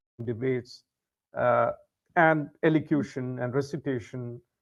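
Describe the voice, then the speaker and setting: A man speaks with a Keralan accent. His pitch is medium and his intonation fairly even. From India, raised outside Kerala. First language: Malayalam. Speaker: English tutor. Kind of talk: casual chat.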